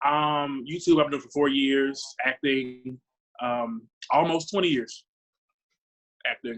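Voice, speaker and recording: Long, frequent pauses break up this man's moderate-paced speech. His pitch is fairly high and his intonation fairly even. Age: 20s. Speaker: actor and drag performer. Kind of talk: casual discussion.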